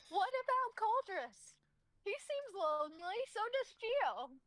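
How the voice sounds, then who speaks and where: Using a put-on character voice, a woman speaks at a fairly slow pace in an extremely high, squeaky pitch with very wide pitch swings. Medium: actual play. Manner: evasive, deflecting.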